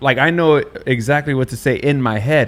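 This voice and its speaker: A man speaks with a Spanish accent and lively intonation. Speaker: podcast host. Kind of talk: casual chat.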